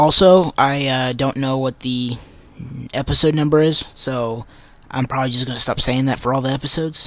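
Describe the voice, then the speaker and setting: A man mumbles at a moderate pace with a medium pitch and fairly even intonation. Noticeable background noise is present. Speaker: religious podcaster. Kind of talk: casual devotional podcast talk. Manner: mumbling; halting, many fillers.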